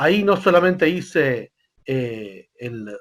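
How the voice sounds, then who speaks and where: Using very wide pitch swings, a man talks in a Rioplatense accent. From Argentina, Buenos Aires. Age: 40s. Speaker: rabbi. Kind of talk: interview. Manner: hesitant, many fillers.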